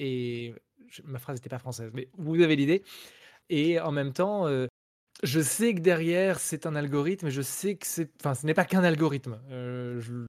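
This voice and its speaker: With a normal speaking voice, a man talks fairly slowly at a fairly high pitch, showing ordinary pitch variation and big swings in loudness on a very clean recording with a silent background. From France. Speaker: rock singer and video game composer. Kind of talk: casual interview.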